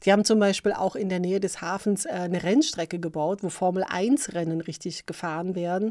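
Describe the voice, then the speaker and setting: Hardly pausing, a woman speaks at a moderate pace in a dark, mellow tone at medium pitch. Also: ordinary pitch variation, very clean recording, silent background. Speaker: podcast host. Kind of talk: casual monologue. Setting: home recording, filmed on laptop. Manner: animated, many fillers.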